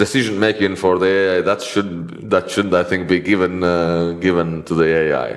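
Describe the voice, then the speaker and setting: A man with a Latvian accent and a very deep, low pitch speaks at a moderate pace with fairly even intonation and hardly any pauses. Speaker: IT consultant and interviewer. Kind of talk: interview. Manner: halting.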